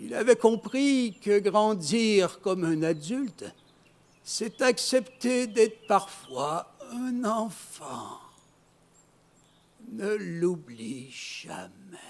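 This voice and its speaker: A man with a high pitch talks at a very slow pace with long, frequent pauses, lively intonation and big swings in loudness. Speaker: storyteller. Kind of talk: stage storytelling performance.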